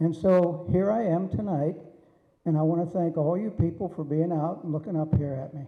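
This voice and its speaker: With an American accent, a man speaks at a high pitch with ordinary pitch variation, and audible room echo surrounds him. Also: moderate pace. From Pennsylvania, Allegheny Mountains. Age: 80s+. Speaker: wrestling referee. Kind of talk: acceptance speech. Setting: banquet hall with audience.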